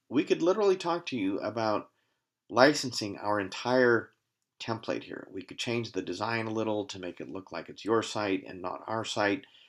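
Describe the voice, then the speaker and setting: A man of medium pitch uses an ordinary speaking voice with lively intonation and big swings in loudness, on a very clean recording with a silent background. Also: moderate pace. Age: 60s. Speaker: company CEO presenting his product. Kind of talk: sales pitch. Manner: casual, with frequent fillers.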